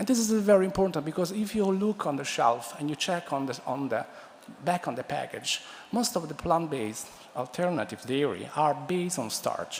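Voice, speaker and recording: The speaker has an Italian accent and a moderate pace. Noticeable background noise sits behind the voice. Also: man, high pitch for a man, lively intonation. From Italy. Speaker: food science professor. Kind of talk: conference talk. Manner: halting, many fillers and restarts.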